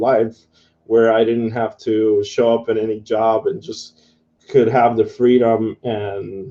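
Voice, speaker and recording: A man with a Spanish accent speaks at medium pitch and a fairly slow pace. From Guatemala. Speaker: affiliate marketer teaching online. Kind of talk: live tutorial webinar. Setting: live video broadcast. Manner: casual, halting with fillers.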